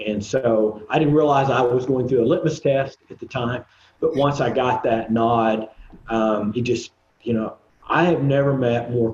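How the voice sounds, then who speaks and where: A moderate pace and fairly even intonation, with an Oklahoma accent. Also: man, medium pitch for a man. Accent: Oklahoma accent, noticeable. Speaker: composer and recording artist. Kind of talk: casual interview chat. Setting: video podcast. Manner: halting, many fillers.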